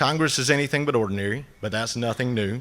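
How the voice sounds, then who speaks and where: In an American accent, a man talks at a medium pitch with ordinary pitch variation. The recording is very clean, with a silent background. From US South, North Georgia mountains. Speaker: agricultural lobbyist. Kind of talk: conference speech. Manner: filler-heavy, many uhs.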